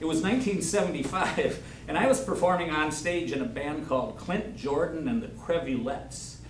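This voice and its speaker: Very wide pitch swings in a Wisconsin accent, with audible room echo and noticeable background noise. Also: man. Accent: Upper Midwest (Wisconsin). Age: 70s. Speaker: local storyteller. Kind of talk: storytelling to a live audience. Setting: senior center with audience.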